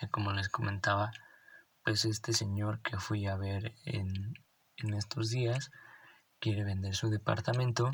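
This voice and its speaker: A man with a Mexican accent, fairly low-pitched and somewhat breathy, at a fairly slow pace with fairly even intonation and long, frequent pauses. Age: 20s. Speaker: real estate podcaster. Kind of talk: solo podcast explainer. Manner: hesitant with repetitions.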